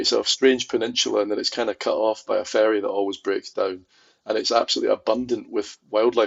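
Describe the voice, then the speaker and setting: A man speaks with a Glaswegian accent. His pace is fairly quick. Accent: Glaswegian Scottish. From Scotland, Glasgow. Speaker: film archivist. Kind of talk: podcast interview.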